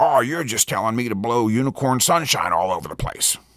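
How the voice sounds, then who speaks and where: Putting on a character voice, a man talks at a fairly quick pace. His pitch is medium for a man. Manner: skeptical, sarcastic.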